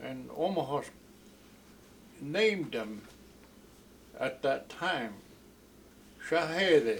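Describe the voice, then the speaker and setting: A very slow delivery with long, frequent pauses and lively intonation. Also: man, fairly high pitch for a man. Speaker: Omaha elder, fluent speaker of the Omaha language. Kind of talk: oral history storytelling.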